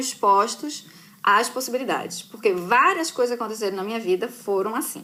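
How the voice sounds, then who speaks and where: Delivered at a moderate pace, a woman's fairly high voice carries a bright, sharp tone, lively intonation and a strong northeastern Brazilian accent. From Brazil, Recife (Pernambuco). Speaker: journalist. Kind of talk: casual live chat with students. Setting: live stream from computer.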